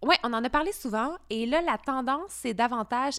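Speaking at a moderate pace, a woman uses a high voice with very wide pitch swings. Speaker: podcast co-host. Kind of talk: casual chat. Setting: in a chalet. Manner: calm.

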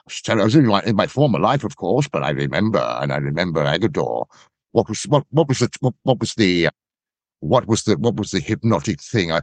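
Speaking at a fairly quick pace with an English accent, a man uses a fairly low pitch, very wide pitch swings and vocal fry. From England. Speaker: actor and body double. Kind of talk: interview.

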